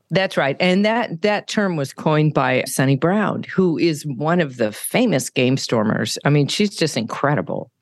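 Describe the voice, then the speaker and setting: In a West Coast accent, the speaker keeps a moderate pace with hardly any pauses and very even loudness, pitch swinging very widely over a quiet background. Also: woman, very deep, low pitch for a woman. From California. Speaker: live illustrator and business consultant. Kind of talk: interview.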